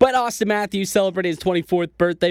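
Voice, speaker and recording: Recorded close and dry, the man's speech has no echo at all. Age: 20s. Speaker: sports podcast host. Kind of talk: casual sports commentary.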